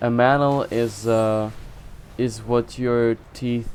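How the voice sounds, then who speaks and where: A man with a medium-pitched voice speaks with a non-native accent. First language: not English. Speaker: video game streamer. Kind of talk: casual gaming commentary; reading quest text aloud. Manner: halting, frequent self-corrections.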